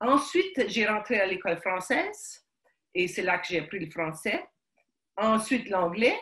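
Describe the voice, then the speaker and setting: A woman's medium-pitched voice with lively intonation, a fairly slow pace and long, frequent pauses. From Quebec, Montreal (Ukrainian family). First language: Ukrainian (speaking French). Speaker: guest sharing life story. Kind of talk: interview testimony. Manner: halting, many hesitations.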